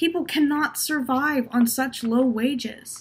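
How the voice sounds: A woman puts on a high-pitched character voice with a slightly husky edge. She goes at a slow pace with ordinary pitch variation.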